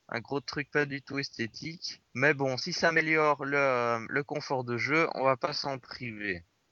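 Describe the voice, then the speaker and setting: A man speaks very slowly at a fairly high pitch with ordinary pitch variation and hardly any pauses. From Belgium (Brussels). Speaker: podcast host. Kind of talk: casual chat.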